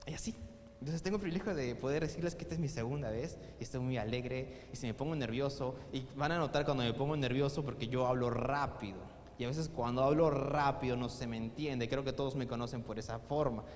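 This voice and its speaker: A man talks at a very fast pace and medium pitch with ordinary pitch variation, with audible room echo and noticeable background noise. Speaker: youth service preacher. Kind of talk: sermon. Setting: church.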